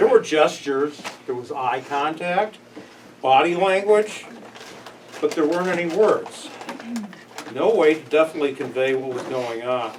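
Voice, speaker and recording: With an American accent and a fairly high pitch, a man speaks at a moderate pace with long, frequent pauses amid noticeable background noise. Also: ordinary pitch variation. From Chicago, US Midwest. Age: 60s. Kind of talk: workplace presentation.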